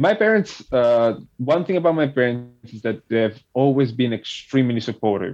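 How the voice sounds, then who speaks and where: In a Neapolitan accent, a man speaks with hardly any pauses. His intonation is lively. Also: medium pitch for a man, moderate pace. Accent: Italian (Neapolitan) accent in English. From Italy, Campania (near Naples). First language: Italian. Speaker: immigrant sharing his story. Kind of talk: interview. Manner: halting.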